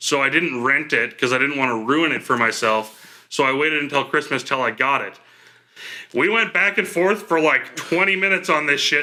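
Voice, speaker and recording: Loud and bright with a sharp tone, this voice moves at a fairly quick pace with lively intonation. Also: man. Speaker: podcast co-host. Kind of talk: casual chat.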